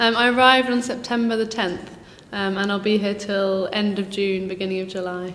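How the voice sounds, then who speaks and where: With a southern English accent, a woman speaks at a fairly quick pace with fairly even intonation, amid noticeable background noise and audible room echo. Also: medium pitch for a woman. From southern England, near Brighton. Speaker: teaching assistant. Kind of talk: interview. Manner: hesitant, many fillers.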